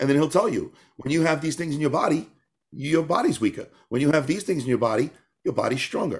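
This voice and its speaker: Very fast, animated speech from a man with a fairly high pitch and ordinary pitch variation. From New York. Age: 40s. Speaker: tap dancer and author. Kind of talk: casual interview.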